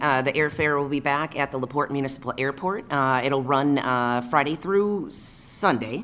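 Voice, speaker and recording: Her pitch is very deep and low for a woman. She speaks with ordinary pitch variation. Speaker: city council member. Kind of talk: council meeting report. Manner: hesitant, filler-heavy.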